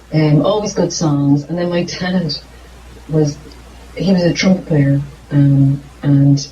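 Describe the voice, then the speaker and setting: Fairly slow, fairly even speech in an Irish accent, over noticeable background noise. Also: woman. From Ireland. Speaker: singer-songwriter. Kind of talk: interview. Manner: halting.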